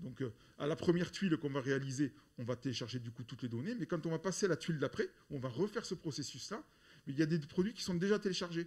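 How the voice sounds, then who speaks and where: Words come at a very fast pace with lively intonation. Long, frequent pauses break up the delivery. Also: man. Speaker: software developer presenting. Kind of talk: conference talk. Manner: loud; halting, many repetitions.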